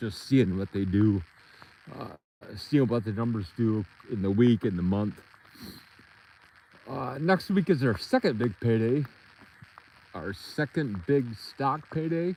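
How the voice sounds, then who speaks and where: A man's mumbling, put-on character voice at a medium pitch, fairly slow, with long, frequent pauses. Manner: mumbling, mouth barely opened.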